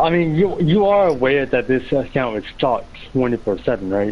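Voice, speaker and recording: Fairly slow speech from a man at medium pitch, with very wide pitch swings and noticeable background noise. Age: 20s. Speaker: online gamer in voice party chat. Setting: game voice chat.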